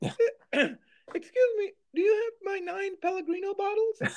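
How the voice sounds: Someone uses a put-on character voice at an extremely high pitch, speaking at a moderate pace.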